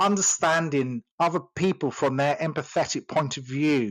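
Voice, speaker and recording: A man with an English accent and a fairly high pitch for a man. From England. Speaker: sales coach. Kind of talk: casual chat. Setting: audio chat room. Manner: hesitant, many fillers.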